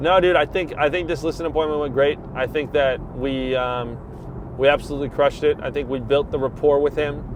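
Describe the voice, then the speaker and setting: A man's fairly high voice with fairly even intonation over noticeable background noise. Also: fairly quick pace. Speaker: real estate agent. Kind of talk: casual chat. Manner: uses many fillers like um and like.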